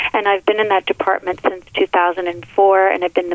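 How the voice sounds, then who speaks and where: Over noticeable background noise, a woman talks at a medium pitch in a monotone, flat intonation. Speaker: nurse. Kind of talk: radio interview. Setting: studio.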